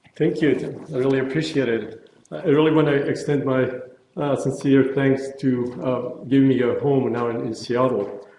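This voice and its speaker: At a moderate pace and medium pitch, a man talks with fairly even intonation amid audible room echo. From former Yugoslavia, Zagreb. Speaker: neurologist, pain researcher. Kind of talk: lecture. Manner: halting, many fillers.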